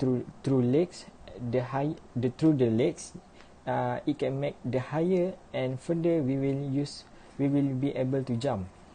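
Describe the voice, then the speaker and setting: Over light background noise, a man speaks at a fairly slow pace with a fairly high pitch, a somewhat breathy quality and a dark, mellow tone. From Malaysia. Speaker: university student; presenter. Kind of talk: class presentation. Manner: halting. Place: home room. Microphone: webcam.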